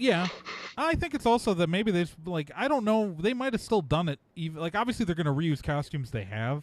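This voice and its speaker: This voice is loud and moves at a fairly quick pace. Its pitch swings very widely. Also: man, high pitch for a man. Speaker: podcast host. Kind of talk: casual chat.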